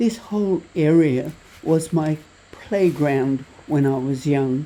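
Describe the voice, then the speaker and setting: Noticeable background noise is present. A woman with an Australian accent speaks at a very slow pace in a very deep, low pitch with ordinary pitch variation. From Tasmania, Australia. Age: 80s+. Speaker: travel vlogger. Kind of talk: travel vlog narration.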